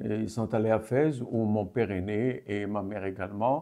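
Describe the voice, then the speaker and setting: This is a man speaking at a medium pitch. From Morocco (Fès, Casablanca). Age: 70s. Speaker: activist. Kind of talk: interview testimony. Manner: hesitant, many fillers.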